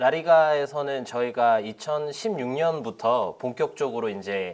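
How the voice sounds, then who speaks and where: Fairly slow in pace, a man talks with lively intonation. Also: fairly high pitch for a man. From Spain (Korean-born, moved at age 3). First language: Spanish (speaking Korean). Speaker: football league representative. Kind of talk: interview. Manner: polite, formal.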